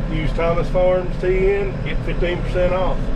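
A man is speaking. Loud background noise sits behind him. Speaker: farmer vlogger. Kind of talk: casual vlog chat. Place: farm machine. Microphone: phone near.

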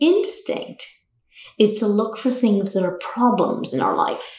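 Somewhat breathy, a woman speaks at a fairly slow pace with audible room echo around her voice. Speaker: yoga teacher. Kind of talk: short talk to camera. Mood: calm, warm. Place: home room.

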